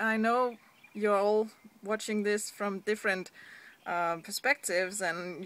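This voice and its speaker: A woman speaks in a Danish accent with a bright, sharp tone. Her intonation is fairly even and her pace fairly slow. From Denmark. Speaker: online business blogger. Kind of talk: vlog. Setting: seated indoors at home. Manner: hesitant, frequent fillers. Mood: earnest, encouraging. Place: street. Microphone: phone near.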